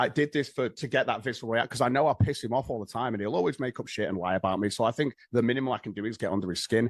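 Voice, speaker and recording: A man at a very fast pace with a British accent, medium pitch and ordinary pitch variation, in a dry, close recording with no echo and a quiet background. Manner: fast talker.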